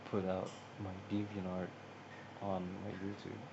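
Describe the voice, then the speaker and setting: Audible room echo surrounds a man speaking at a very deep, low pitch. His intonation is monotone and flat. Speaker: gaming YouTuber. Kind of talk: casual vlog chat. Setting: at home at a table. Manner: soft-spoken; halting. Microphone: phone on table, no microphone.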